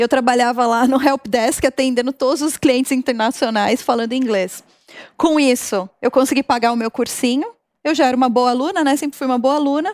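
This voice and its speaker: Delivered at a fairly quick pace with ordinary pitch variation, the speech sounds dry and close with no echo. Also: woman, high pitch for a woman. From Brazil, São Caetano (São Paulo). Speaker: marketing executive. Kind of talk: interview.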